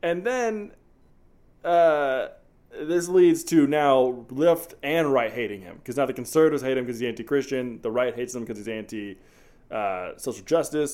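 A man's plain, everyday voice, fairly high in pitch, with lively intonation, big swings in loudness and a moderate pace, on a very clean recording with a silent background. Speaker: movie podcast host. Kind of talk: casual chat, movie review. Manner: joking, casual.

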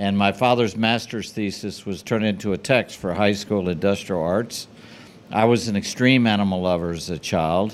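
In an American accent, a man speaks at a moderate pace with a fairly low pitch, fairly even intonation and a plain, everyday voice. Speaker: pet products designer. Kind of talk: casual interview.

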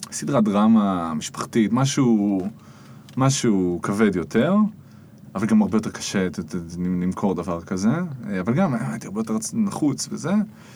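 Speaking at a fairly slow pace with long, frequent pauses, a man uses lively intonation at a fairly low pitch. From Israel, Jerusalem. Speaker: spoken word artist and musician. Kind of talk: casual interview chat. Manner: animated.

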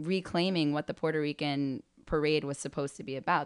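A woman with a New York accent speaks at a very deep, low pitch and a fairly quick pace. Her intonation stays fairly even over a quiet background. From New York City (Spanish Harlem). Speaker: spiritual practitioner and event producer. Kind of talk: interview.

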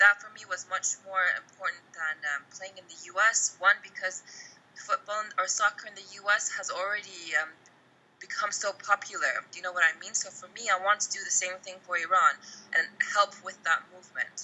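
A woman with an American accent talks at a moderate pace, her loudness swinging widely. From US (Oklahoma and Texas). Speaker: football coach and former national team captain. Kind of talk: interview.

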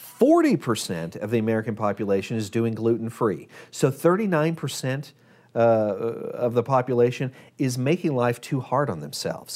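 A man with an ordinary speaking voice talks at a moderate pace, his medium pitch carried by lively intonation. The recording is very clean, with a silent background. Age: 40s. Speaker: diet and health guest. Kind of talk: casual chat.

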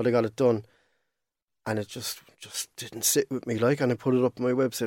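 A man speaks very fast in a monotone, flat intonation at medium pitch, in a dry, close sound with no echo on a very clean recording with a silent background. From Cork, Ireland. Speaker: digital artist. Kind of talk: casual chat.

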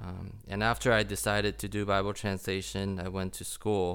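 Vocal fry runs through a man's very deep, low-pitched voice. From Taiwan. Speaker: missionary Bible translator. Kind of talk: interview testimony.

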